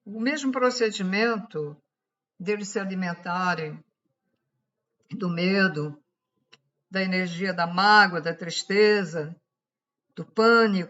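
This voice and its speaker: A woman speaks very slowly in a medium pitch, with ordinary pitch variation. Her pauses are long and frequent. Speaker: spiritual channel host. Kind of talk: esoteric talk to camera. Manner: speaking louder than usual; halting.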